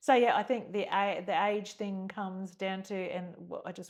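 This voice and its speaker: Over a quiet background, a woman uses a normal speaking voice at medium pitch with fairly even intonation. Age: 50s. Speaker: podcast guest, host's mother. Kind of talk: casual chat.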